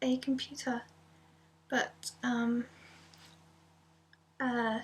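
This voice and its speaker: Soft-spoken, a woman with an English accent talks in a high, monotone voice with flat intonation. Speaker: ASMR youtuber. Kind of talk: casual vlog update. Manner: many filler ums.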